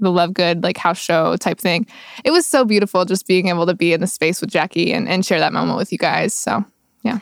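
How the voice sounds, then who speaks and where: In a normal speaking voice, a woman with an American accent talks at a fairly quick pace and medium pitch with ordinary pitch variation, in a very clean recording with a silent background and a dry, close sound with no echo. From far west Texas. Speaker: singer-songwriter. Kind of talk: casual interview chat. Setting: studio.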